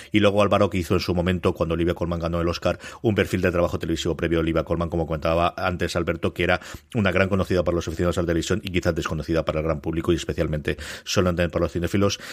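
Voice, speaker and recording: Very deep and low, a man talks at a very fast pace with monotone, flat intonation in a very clean recording with a silent background. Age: 40s. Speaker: podcast host. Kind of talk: casual chat.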